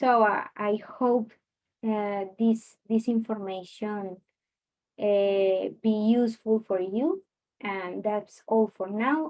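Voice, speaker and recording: Intonation stays fairly even. The pace is very slow. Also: woman, fairly high pitch for a woman. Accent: Latin American. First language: Spanish. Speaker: student and online Spanish teacher. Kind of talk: research presentation. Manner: halting, many fillers.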